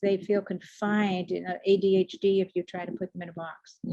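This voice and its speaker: In a slight Boston accent, the voice has a dark, mellow tone and flat, monotone intonation. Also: woman. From US Northeast, Boston. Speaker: leadership coach and speaker. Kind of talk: online presentation. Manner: fast.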